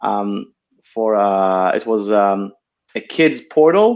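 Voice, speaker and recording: Very slow speech from a man with an Israeli accent and ordinary pitch variation. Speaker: tech entrepreneur. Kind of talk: interview. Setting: live video stream. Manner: hesitant, many fillers.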